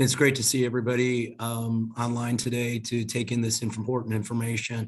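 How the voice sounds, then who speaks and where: Moving at a fairly quick pace, a man speaks at a medium pitch in a monotone, flat intonation. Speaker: health insurance company representative. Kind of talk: panel presentation.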